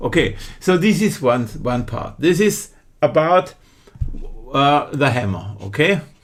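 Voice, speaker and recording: At a very slow pace, a man with a German accent speaks with fairly high pitch, a bright, sharp tone, vocal fry and very wide pitch swings. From Germany. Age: 50s. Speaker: online true crime commentator. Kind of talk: casual video commentary. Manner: halting, many fillers and restarts.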